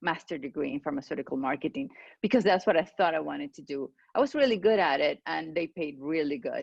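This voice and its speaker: A woman speaks in a Venezuelan accent at a very fast pace. Her fairly low voice makes very wide pitch swings. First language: Spanish. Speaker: clinical pharmacist. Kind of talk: interview. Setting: video call.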